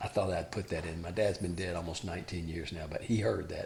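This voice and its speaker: Somewhat breathy, a man with a Southern US accent talks with fairly even intonation. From Alabama. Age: 60s. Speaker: former college basketball player and father of athletes. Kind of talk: interview.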